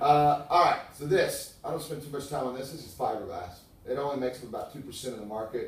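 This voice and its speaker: A man talks very fast with ordinary pitch variation and big swings in loudness, the room echo clearly audible. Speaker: window salesman. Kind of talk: sales pitch.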